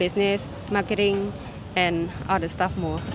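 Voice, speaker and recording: The speaker talks with a Cambodian accent and monotone, flat intonation. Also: woman. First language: Khmer. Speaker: university lecturer. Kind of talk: casual interview. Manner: hesitant, searching for words.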